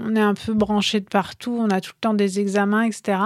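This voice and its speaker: A woman talks at a fairly slow pace and fairly high pitch in an unremarkable speaking voice. The recording is very clean with a silent background and a dry, close sound with no echo. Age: 40s. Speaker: entrepreneur, co-founder of a clothing brand. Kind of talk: interview.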